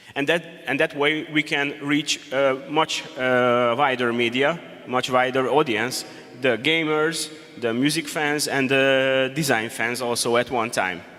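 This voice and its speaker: A man speaks at a fairly slow pace with a fairly high pitch and ordinary pitch variation. Noticeable background noise runs underneath. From Hungary. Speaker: game designer and presenter. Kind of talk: conference presentation. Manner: halting.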